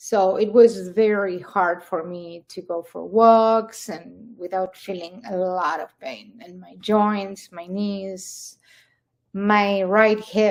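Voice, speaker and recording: Speaking very slowly, a woman of medium pitch talks with an Argentine accent. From Argentina. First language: Spanish. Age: 60s. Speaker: carnivore diet success story guest. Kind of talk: interview testimony. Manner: halting.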